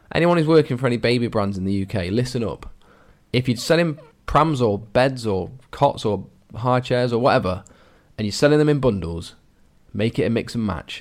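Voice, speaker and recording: A man with an English accent talks at a fairly quick pace with lively intonation and long, frequent pauses. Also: medium pitch for a man. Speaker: adoption podcast co-host. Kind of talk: casual chat.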